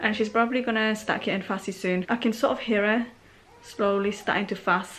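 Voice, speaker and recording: This woman has a fairly high pitch and a fairly even intonation. She moves at a fairly quick pace. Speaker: vlogger, mother. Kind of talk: vlog diary. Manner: quiet.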